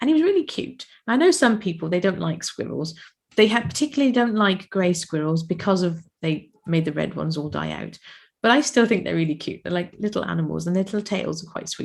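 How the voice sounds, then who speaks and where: Someone with a British accent speaks at a fairly quick pace. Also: woman. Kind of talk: casual podcast storytelling.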